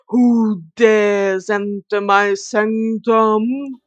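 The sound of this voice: Someone in a put-on character voice speaks at a very slow pace, fairly high in pitch, with monotone, flat intonation over a quiet background.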